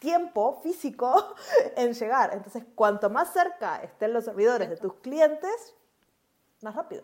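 Speaking with a Uruguayan accent, a woman uses a high pitch with very wide pitch swings at a fairly slow pace. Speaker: cloud developer advocate, podcast co-host. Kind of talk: casual tech chat.

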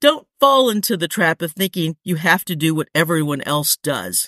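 Very wide pitch swings mark a woman's fairly slow speech, recorded dry and close with no echo on a very clean track with a silent background. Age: 60s. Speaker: running podcast host. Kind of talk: solo podcast monologue.

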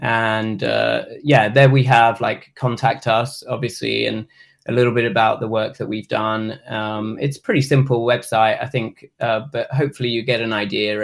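A man with a British accent talks at medium pitch and a moderate pace, with fairly even intonation. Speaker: nonprofit consultant. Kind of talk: casual chat. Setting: studio.

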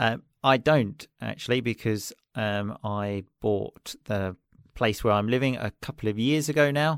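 Recorded very cleanly against a silent background with dry, close sound and no echo, a man with a southern English accent speaks at medium pitch and a fairly slow pace with ordinary pitch variation. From southeast England, Chelmsford. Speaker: English teacher and podcaster. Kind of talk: casual chat.

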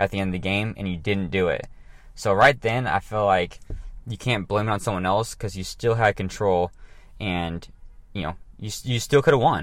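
At a moderate pace with ordinary pitch variation, the speaker leaves long, frequent pauses in a very clean recording with a silent background. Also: man, fairly low pitch for a man. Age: 30s. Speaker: fitness podcast host. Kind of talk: casual solo podcast monologue. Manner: casual, many fillers and restarts.

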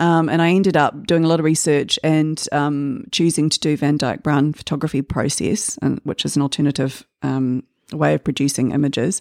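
A woman with a New Zealand accent, very deep, low pitch, fairly even intonation and moderate pace, in a very clean, dry, close recording with a silent background and no echo. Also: hardly any pauses, very even loudness. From New Zealand, Auckland (Waitakere). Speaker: artist. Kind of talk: interview. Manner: hesitant, with many fillers.

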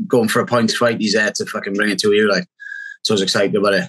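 A man's bright, sharp, fairly low voice in a strong Welsh accent. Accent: Welsh, thick. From Wales. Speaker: MMA fighter. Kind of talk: casual interview.

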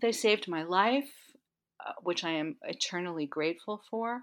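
A woman with an unremarkable speaking voice talks fairly slowly with ordinary pitch variation in a very clean recording with a silent background. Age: 60s. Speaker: health coach and somatic educator. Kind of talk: interview.

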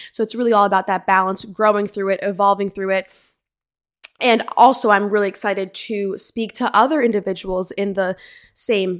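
A woman with an American accent at medium pitch, moderate pace, very clean recording with a silent background. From US Northeast, Central New Jersey. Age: 20s. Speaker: podcast host and fitness coach. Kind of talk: podcast trailer monologue. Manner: enthusiastic.

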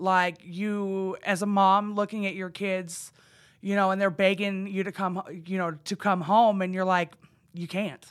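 A woman with an American accent speaks at medium pitch. Her intonation is monotone and flat, on a very clean recording with a silent background. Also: fairly slow pace. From Idaho. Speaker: recovering addict, court program graduate. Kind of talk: testimony.

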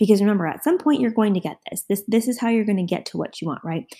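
This very clean recording, with a silent background, captures a woman at medium pitch with ordinary pitch variation. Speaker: podcast host. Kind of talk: solo pep talk, motivational coaching address to listeners. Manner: direct, urgent, encouraging, punchy commands; conversational, with filler words and self-corrections.

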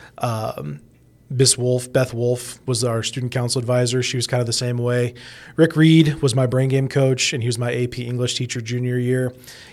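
At a moderate pace, a man in a Midwestern American accent talks at a medium pitch with fairly even intonation. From Indianapolis, Indiana. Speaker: radio personality and teacher. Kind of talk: casual interview.

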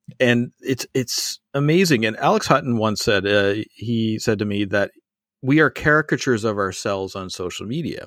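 Lively intonation at a moderate pace, in an ordinary speaking voice. The sound is dry and close with no echo, a very clean recording with a silent background. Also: man, medium pitch for a man. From Canada. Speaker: podcast host. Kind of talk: interview chat.

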